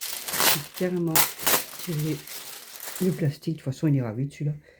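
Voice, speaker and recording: This woman has a very deep voice. Her pitch is very low. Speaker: crafts YouTuber. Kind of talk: casual chat while crafting. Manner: relaxed, chatty.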